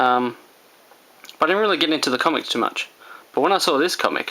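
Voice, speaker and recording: Someone with an Australian accent speaks over noticeable background noise. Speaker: comic book YouTuber. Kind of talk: casual haul video talk. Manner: casual, rambling with fillers; slow and soft.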